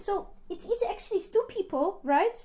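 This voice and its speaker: In a Polish accent, a woman with an extremely high pitch and a dark, mellow tone speaks at a moderate pace. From Poland. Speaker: life coach. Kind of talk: coaching session. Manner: animated.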